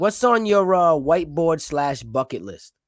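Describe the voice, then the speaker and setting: Speaking with a New York accent, a man uses ordinary pitch variation. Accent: New York-sounding. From Rhode Island, Providence. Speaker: podcast host. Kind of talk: casual chat.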